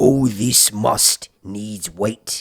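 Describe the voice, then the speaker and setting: A man does a put-on character voice at a fairly low pitch. The sound is dry and close, with no echo. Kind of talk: archaic, formal. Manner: stern, pompous.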